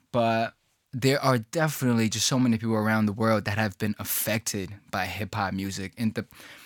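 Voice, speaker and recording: In a very clean recording with a silent background and a dry, close sound with no echo, a man of medium pitch speaks at a moderate pace in a New York accent with fairly even intonation. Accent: New York American English. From China (Hubei), then New York from age 11. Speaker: rapper. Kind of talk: casual interview.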